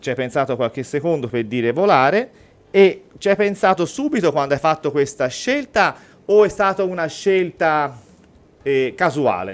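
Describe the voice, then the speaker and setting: A man with a fairly high pitch speaks at a moderate pace, his voice making very wide pitch swings. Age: 40s. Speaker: mentalist and real estate agent; guest. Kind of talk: radio interview and mentalism demonstration. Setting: radio studio. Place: studio. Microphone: studio mic.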